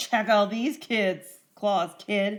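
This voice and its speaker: A put-on character voice, female-sounding and raspy, at a medium pitch for a woman. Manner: gravelly, menacing.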